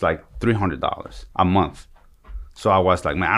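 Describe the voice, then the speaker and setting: Using a Spanish accent, a man talks at a very slow pace and a very deep, low pitch, with vocal fry and ordinary pitch variation. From El Salvador. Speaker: podcast guest.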